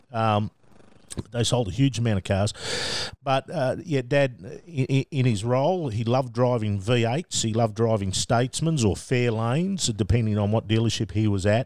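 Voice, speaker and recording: Medium in pitch, this man has an Australian accent, ordinary pitch variation, a moderate pace and very even loudness, recorded with a dry, close sound and no echo. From Australia, Melbourne. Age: 50s. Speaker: motorsport media manager. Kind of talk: casual interview.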